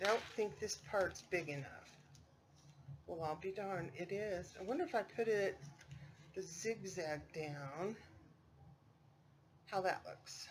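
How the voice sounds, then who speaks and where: This woman talks at a fairly slow pace with long, frequent pauses. Her pitch sits in the medium range and varies in an ordinary way. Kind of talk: craft tutorial. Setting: dining room at home. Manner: loud; casual, chatty.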